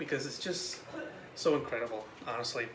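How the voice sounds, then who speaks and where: A fairly high-pitched man with lively intonation against noticeable background noise. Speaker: film reviewer. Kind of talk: casual film review vlog. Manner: quiet, near whisper.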